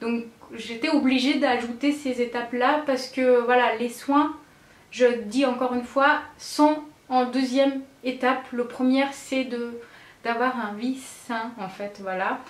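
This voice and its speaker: A woman's high-pitched voice, very slow and fairly even in intonation, with audible room echo. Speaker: beauty vlogger. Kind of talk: casual vlog tutorial. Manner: hesitant, many fillers.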